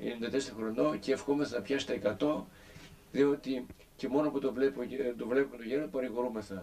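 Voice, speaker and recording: He has an unremarkable speaking voice at a medium pitch for a man. His pitch variation is ordinary and his pace fairly quick. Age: 60s. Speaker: pilgrim video narrator. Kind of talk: casual narration.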